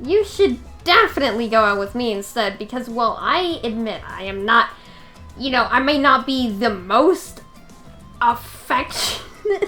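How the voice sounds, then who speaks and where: Over clear music in the background, a woman puts on a high-pitched character voice at a moderate pace. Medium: game stream. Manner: blunt, flat.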